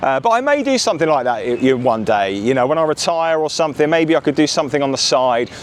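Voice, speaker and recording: In an English accent, the speaker goes at a very fast pace with hardly any pauses, lively intonation and very even loudness over noticeable background noise. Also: man, fairly high pitch for a man. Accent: English, mostly retained. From southern England, Bournemouth. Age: 40s. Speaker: vlogger. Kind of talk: casual vlog talk to camera. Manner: hesitant, many fillers.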